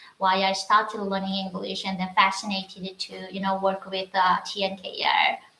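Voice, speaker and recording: This is a woman speaking. She has a Korean accent. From North Korea, Wonsan. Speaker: North Korean defector. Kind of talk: casual chat. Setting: livestream. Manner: halting.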